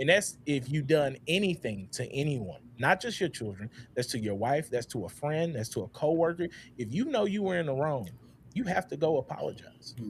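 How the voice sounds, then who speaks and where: A man's voice sits at a fairly high pitch with very wide pitch swings. Vocal fry comes through. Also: moderate pace. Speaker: podcast host. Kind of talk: panel discussion. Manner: halting.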